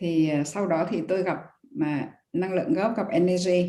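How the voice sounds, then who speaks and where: In a room with audible echo, a woman speaks at medium pitch with a dark, mellow tone and ordinary pitch variation. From northern Vietnam, Hanoi. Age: 60s. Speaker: retired university lecturer, guest. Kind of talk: testimony. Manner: halting, with fillers.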